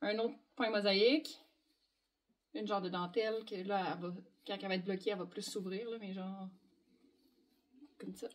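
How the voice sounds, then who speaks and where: With long, frequent pauses, a woman speaks at a medium pitch with ordinary pitch variation. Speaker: knitting designer and podcast host. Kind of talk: casual chat. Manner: fast.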